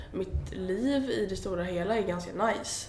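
A woman's voice in audible room echo, with noticeable background noise. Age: 20s. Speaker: blogger and influencer. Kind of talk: casual interview. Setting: agency office in Gothenburg.

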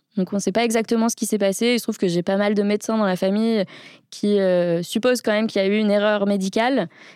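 A woman at a very fast pace, with very even loudness and fairly even intonation, on a very clean recording with a silent background. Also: medium pitch for a woman. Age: 30s. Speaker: wheelchair user and startup co-founder. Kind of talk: casual interview. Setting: studio.

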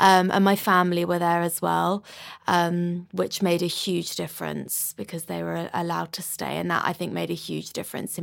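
In a London accent, a woman speaks at a moderate pace on a very clean recording with a silent background. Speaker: musician and DJ. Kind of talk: interview.

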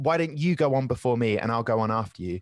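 In a southern English accent, a man speaks at a very fast pace. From southern England, Southampton. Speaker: stand-up comedian and travel presenter. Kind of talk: casual interview chat.

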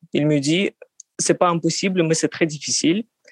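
A woman's very deep, low voice with a Russian accent, ordinary pitch variation, and a dry, close sound with no echo. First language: Russian (speaking French). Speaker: psychoanalyst. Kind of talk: interview testimony. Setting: call. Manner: halting.

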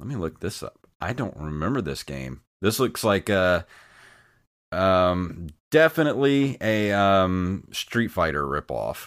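Here a man speaks in a Southern US accent at a very deep, low pitch with very wide pitch swings. His pace is fairly slow, and the recording is very clean with a silent background. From US South. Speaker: retro gaming podcast host. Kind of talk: casual chat.

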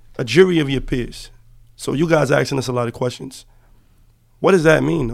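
A man with an American accent talks at a fairly quick pace, with long, frequent pauses. His voice sits at a medium pitch, shows vocal fry and has ordinary pitch variation. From Harlem, New York City. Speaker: former prisoner, college student. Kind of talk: interview. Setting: podcast studio.

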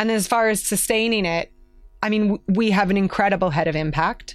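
Here is a woman with an ordinary speaking voice. She keeps a moderate pace and fairly even intonation. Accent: Canadian. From Canada. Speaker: marketing executive. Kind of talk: interview.

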